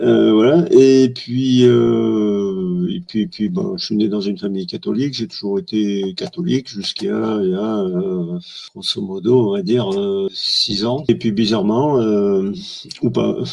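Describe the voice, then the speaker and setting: A man speaks at a very slow pace in a fairly low voice with lively intonation. Noticeable background noise runs underneath. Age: 60s. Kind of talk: testimony. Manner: halting, many hesitations.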